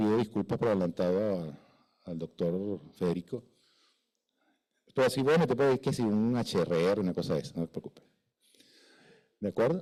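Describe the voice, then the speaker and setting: A man with a dark, mellow tone and fairly low pitch talks at a moderate pace with lively intonation. He leaves long, frequent pauses. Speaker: fire protection engineer. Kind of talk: conference lecture. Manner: halting, stutters from nerves; conversational, informal.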